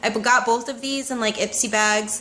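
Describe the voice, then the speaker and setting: A woman talks at a fairly quick pace with a high pitch. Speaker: beauty vlogger. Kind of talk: product review vlog.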